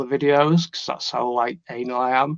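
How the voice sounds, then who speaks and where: In a Yorkshire accent, a man speaks at a medium pitch and a moderate pace. His intonation is fairly even. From northern England, Leeds. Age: 40s. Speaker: trading student. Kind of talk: interview. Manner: halting, many fillers and repeats.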